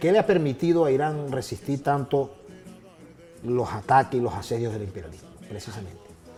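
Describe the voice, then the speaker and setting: With music in the background, a man of medium pitch talks at a moderate pace with very wide pitch swings. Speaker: military officer and TV host. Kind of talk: interview.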